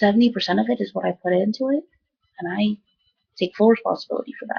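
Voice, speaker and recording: A woman's fairly high voice with vocal fry, ordinary pitch variation, and a very fast pace. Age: young. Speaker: video blogger recovering from a stroke. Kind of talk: personal video diary. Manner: halting, repeats words.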